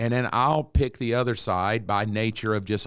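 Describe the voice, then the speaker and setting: A medium-pitched man at a moderate pace on a very clean recording with a silent background. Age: 60s. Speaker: pastor. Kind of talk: casual chat. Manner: animated.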